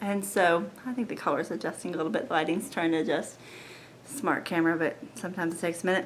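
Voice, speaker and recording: A soft-spoken woman's fairly low voice at a very fast pace, with lively intonation. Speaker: lifestyle vlogger sharing health story. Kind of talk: personal testimony vlog. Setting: at home at night, family asleep. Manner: soft-spoken, quiet; hesitant, many fillers.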